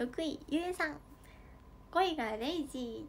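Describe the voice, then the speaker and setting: A woman talks in a cheerful tone with ordinary pitch variation, and light background noise sits behind her. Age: 20s. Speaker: idol livestreamer. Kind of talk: fan livestream chat. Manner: cheerful, frequent laughter. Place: home room. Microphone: phone near.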